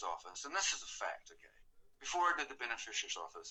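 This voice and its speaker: A man talks in a New Zealand accent. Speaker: artist. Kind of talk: interview.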